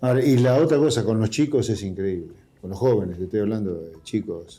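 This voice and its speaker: Lively intonation from a man with a fairly low pitch and a dark, mellow tone, at a fairly quick pace. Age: 60s. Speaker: politician. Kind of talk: interview.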